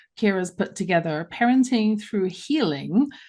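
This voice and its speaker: A woman with a London accent speaks at a moderate pace and medium pitch, with ordinary pitch variation. Her tone is dark and mellow. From London, England. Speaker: radio talk show host. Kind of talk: radio interview. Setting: live radio show.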